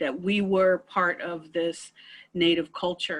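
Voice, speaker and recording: In a plain, everyday voice, a woman speaks at a fairly slow pace with fairly low pitch and fairly even intonation against a quiet background. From South Dakota, US. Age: 60s. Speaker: panel speaker. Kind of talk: personal testimony. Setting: video call.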